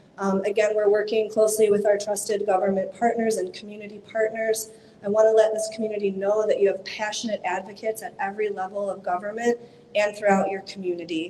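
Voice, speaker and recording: Against noticeable background noise, a woman with an American accent talks at a very fast pace in a monotone, flat intonation, with big swings in loudness. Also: medium pitch for a woman. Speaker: disaster relief worker. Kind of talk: community meeting update.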